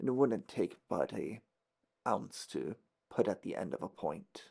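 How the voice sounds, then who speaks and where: A put-on, raspy character voice from a man, moderately paced. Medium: actual play.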